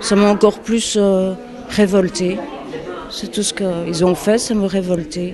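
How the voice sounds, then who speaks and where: Against noticeable background noise, the speech moves at a very slow pace with long, frequent pauses and fairly even intonation. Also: woman, medium pitch for a woman. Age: 50s. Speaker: unemployed interviewee. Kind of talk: interview testimony.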